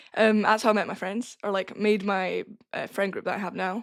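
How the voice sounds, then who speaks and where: A woman in a northern Scottish accent, monotone and flat in intonation. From northern Scotland, Caithness. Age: 20s. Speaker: wrestling trainee. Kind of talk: casual chat.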